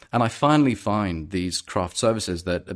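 With lively intonation, a man keeps to a moderate pace as he talks. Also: very clean recording, silent background. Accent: London. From London. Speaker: actor. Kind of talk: casual chat.

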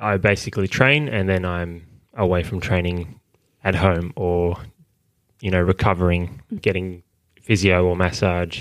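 With an Australian accent and a very deep, low voice, a man speaks fairly slowly with long, frequent pauses, on a very clean recording with a silent background. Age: 20s. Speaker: Olympic high jumper. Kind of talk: interview. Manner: halting.

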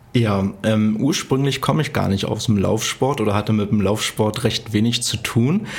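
A man talks at a moderate pace with a fairly low pitch and ordinary pitch variation. Noticeable background noise is present. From eastern Germany, Cottbus. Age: 20s. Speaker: running content creator. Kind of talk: interview. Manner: cheerful.

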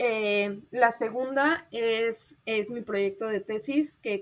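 The speaker has a Mexico City accent. The recording is very clean, with a silent background. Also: woman. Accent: Mexican Spanish (Mexico City). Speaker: traveler and volunteer. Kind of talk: interview.

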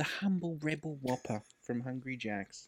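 The recording is very clean with a silent background. On it, a man with an Australian accent speaks in a fairly high pitch. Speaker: podcast co-host. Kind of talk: casual chat.

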